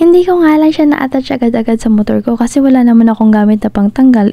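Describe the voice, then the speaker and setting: A woman's high voice with a Visayan accent, very fast pace and ordinary pitch variation. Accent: Visayan-tinged Tagalog. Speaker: motorcycle travel vlogger. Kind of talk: vlog voiceover narration. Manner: casual, chatty.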